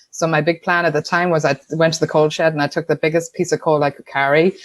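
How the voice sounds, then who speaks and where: A woman with an Irish accent talks at a very fast pace with a very deep, low pitch and fairly even intonation. The recording is very clean with a silent background. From Ireland, Tuam, County Galway. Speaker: entrepreneur, sponsorship consultant. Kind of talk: podcast interview.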